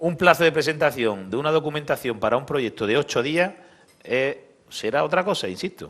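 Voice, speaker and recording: A man speaks at a fairly quick pace with lively intonation and some vocal fry. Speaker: business association leader. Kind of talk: conference speech.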